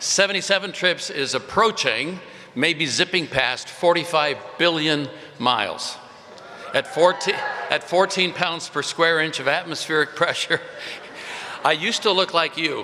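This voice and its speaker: Speaking at a moderate pace with an American accent, a man has a high pitch and ordinary pitch variation over noticeable background noise. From India and California. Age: 70s. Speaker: pastor. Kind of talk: commencement speech. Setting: stage with audience. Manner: casual, humorous.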